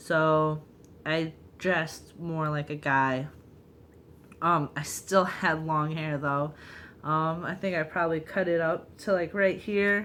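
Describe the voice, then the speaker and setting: Speaking at a very slow pace with long, frequent pauses, a woman uses a very deep, low pitch and fairly even intonation. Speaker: vlogger. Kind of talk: personal vlog. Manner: hesitant, frequent ums.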